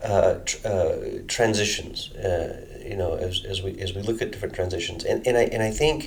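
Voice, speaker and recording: Noticeable background noise and audible room echo surround a man speaking at a moderate pace with an American accent. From United States. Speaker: energy modeling researcher. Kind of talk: interview. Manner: halting, many fillers and restarts.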